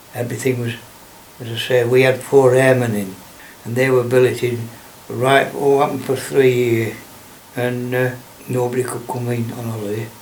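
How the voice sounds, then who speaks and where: A man at medium pitch speaks in a strong Lancashire accent with monotone, flat intonation, big swings in loudness, and long, frequent pauses. Noticeable background noise and audible room echo sit behind him. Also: moderate pace. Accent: broad Lancashire. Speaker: local elder recalling childhood. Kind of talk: oral history interview. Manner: halting.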